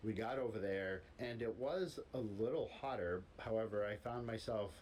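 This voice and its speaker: A man talks in a fairly low voice with ordinary pitch variation. Room echo is audible around him. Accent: American. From United States. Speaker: expat vlogger. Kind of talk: casual chat.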